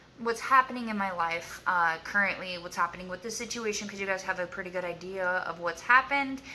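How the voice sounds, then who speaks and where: Over noticeable background noise, a woman speaks at a fairly quick pace with a medium pitch and ordinary pitch variation. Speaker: YouTuber sharing abuse survivor story. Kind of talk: casual vlog to camera. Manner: halting, filler-heavy.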